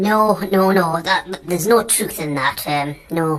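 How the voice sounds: A man puts on a cartoonish character voice, high-pitched and fairly slow.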